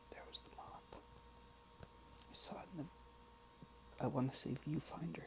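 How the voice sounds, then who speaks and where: Noticeable background noise runs under the voice of a soft-spoken man. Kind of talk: soft-spoken ASMR ramble. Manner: soft-spoken, rambling, informal.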